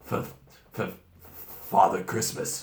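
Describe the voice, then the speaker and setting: A man uses a raspy, put-on character voice. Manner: stammering.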